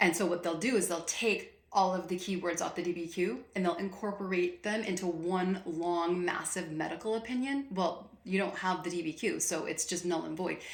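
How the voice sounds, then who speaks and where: With ordinary pitch variation and hardly any pauses, a woman speaks at a moderate pace amid noticeable background noise and audible room echo. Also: medium pitch for a woman. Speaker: VA claims advice youtuber. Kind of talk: casual vlog rant. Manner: loud; animated, passionate.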